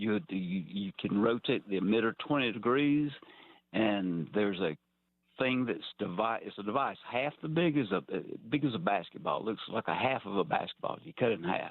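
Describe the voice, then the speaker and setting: This man talks at a fairly quick pace with lively intonation. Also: medium pitch for a man. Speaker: caller. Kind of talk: call-in conversation. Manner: halting, repeats words.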